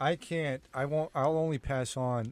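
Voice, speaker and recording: On a very clean recording with a silent background, a man speaks with ordinary pitch variation. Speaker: freestyle music producer. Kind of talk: radio interview. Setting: radio studio. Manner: calm.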